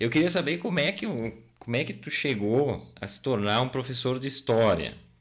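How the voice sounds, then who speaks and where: A man speaks with lively intonation. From Rio Grande do Sul, Brazil (Garibaldi). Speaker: podcast co-host. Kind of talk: casual chat. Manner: halting.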